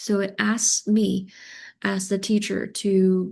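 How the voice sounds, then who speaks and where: A woman talks with a Chinese accent at a medium pitch. The background is quiet. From China. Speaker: teacher of multilingual learners. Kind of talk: conference presentation.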